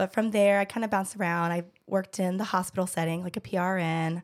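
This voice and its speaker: On a very clean recording with a silent background, a woman talks at a fairly quick pace with fairly even intonation. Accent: Southern US. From Georgia, US South. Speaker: pelvic floor physical therapist. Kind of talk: casual chat.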